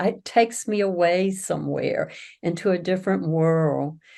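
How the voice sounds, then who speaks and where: A woman's fairly low voice in a Southern US accent, fairly slow, with ordinary pitch variation. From US South. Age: 70s. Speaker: author. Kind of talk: interview.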